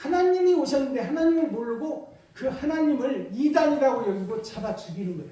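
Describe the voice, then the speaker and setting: A man talks at a fairly quick pace with hardly any pauses, in an extremely high pitch with lively intonation. Audible room echo and noticeable background noise come through. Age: 60s. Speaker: pastor. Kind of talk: sermon.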